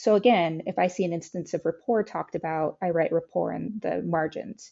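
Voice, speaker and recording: Fairly quick speech with vocal fry and lively intonation. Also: woman. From Texas. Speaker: public health researcher. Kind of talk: interview.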